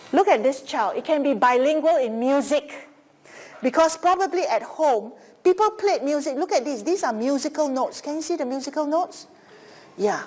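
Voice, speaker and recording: Through noticeable background noise, a woman speaks at a moderate pace with a high pitch and lively intonation. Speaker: linguistics lecturer. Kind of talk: lecture. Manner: repetitive, checks in with listeners (okay?).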